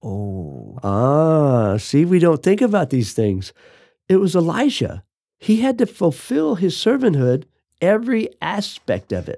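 A man with an American accent, his voice fairly high and dark and mellow in tone, with very wide pitch swings, a fairly slow pace, and a very clean recording over a silent background. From Arizona, US. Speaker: ministry leader. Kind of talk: interview.

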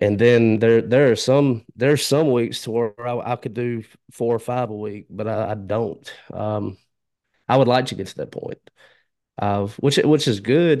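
A Southern US accent at a fairly slow pace, with ordinary pitch variation, over a quiet background. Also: man, medium pitch for a man, big swings in loudness. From Alabama and Mississippi border area. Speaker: podcaster. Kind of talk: casual interview chat.

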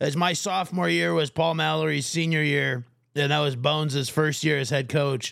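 A normal speaking voice from a man with an American accent, fairly high pitch, ordinary pitch variation, a moderate pace and very even loudness, in a very clean recording with a silent background. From Minnesota, Fairmont area. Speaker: podcast host, coach. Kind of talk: casual chat.

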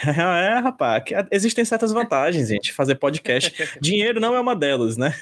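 A high-pitched man speaks at a moderate pace, his voice swinging very widely in pitch. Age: 30s. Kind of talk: interview.

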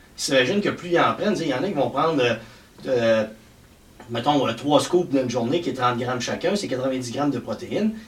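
A man's medium-pitched voice with lively intonation at a moderate pace, broken by long, frequent pauses, over noticeable background noise. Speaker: fitness and health coach. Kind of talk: casual chat.

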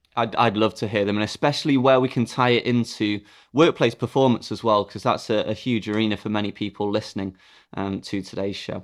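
With an ordinary speaking voice, a man talks at a fairly quick pace and fairly low pitch, his intonation fairly even, in a very clean recording with a silent background. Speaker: podcast host and company CEO. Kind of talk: interview, conversational.

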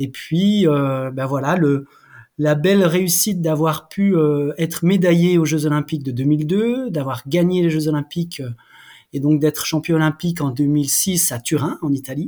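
In a very clean recording with a silent background, a man with a fairly high pitch and a dark, mellow tone speaks at a fairly slow pace with ordinary pitch variation. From France, Jura (Haut-Doubs). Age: 40s. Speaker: former Olympic athlete and clothing brand founder. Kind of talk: interview. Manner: halting, many repetitions.

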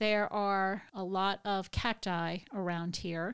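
Very slow and fairly even in intonation, a woman speaks in a very clean recording with a silent background. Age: 50s. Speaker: podcast host, hiking enthusiast. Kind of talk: solo monologue tutorial.

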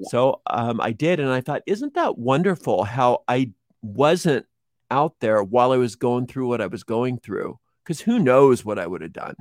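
A man with a normal speaking voice talks at a moderate pace and medium pitch with lively intonation. The sound is dry and close with no echo, in a very clean recording with a silent background. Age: 50s. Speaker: witchcraft teacher and tarot reader. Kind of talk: interview.

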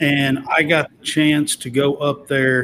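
A man with a Kentucky accent, fairly high in pitch, at a very slow pace. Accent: Kentucky Southern US. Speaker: sports podcast host. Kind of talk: casual chat.

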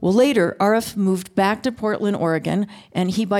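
A woman talks at a medium pitch and moderate pace in an ordinary speaking voice. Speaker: announcer. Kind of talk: scripted announcements.

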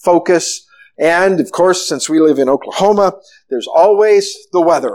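Reading aloud in a natural voice, with ordinary pitch variation over a quiet background

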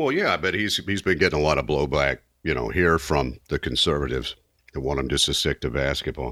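This man has a very deep, low pitch with vocal fry and a bright, sharp tone. His pitch varies in an ordinary way, and the recording is very clean with a silent background. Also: fairly quick pace. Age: 50s. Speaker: podcast co-host. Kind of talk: casual chat.

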